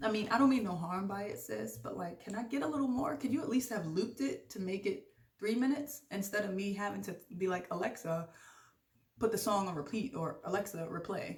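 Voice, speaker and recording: Somewhat breathy, a woman speaks at a fairly quick pace and medium pitch with lively intonation. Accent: American. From Jamaican from Brooklyn, New York. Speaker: podcast host. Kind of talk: casual vlog monologue. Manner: fast; animated.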